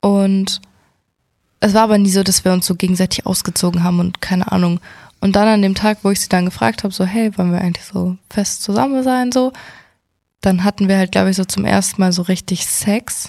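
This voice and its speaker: At a fairly quick pace, a woman speaks in a medium pitch with a dark, mellow tone and a somewhat breathy quality. Her intonation is fairly even, and the sound is dry and close with no echo. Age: 20s. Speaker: podcast co-host. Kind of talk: casual chat.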